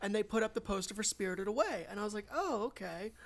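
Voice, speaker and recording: A normal speaking voice from a woman, medium in pitch, at a fairly quick pace. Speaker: podcast host. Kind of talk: casual chat.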